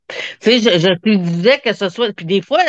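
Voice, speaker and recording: A woman speaks at a medium pitch with ordinary pitch variation, her voice dry and close with no echo against a quiet background. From Quebec, Montreal. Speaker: hypnosis practitioner. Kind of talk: interview, personal testimony. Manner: halting, many repetitions.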